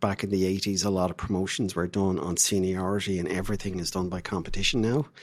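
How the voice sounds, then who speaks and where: Very fast and with hardly any pauses, a man with an Irish accent talks in a very deep, low voice with fairly even intonation. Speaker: diplomat. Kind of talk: interview.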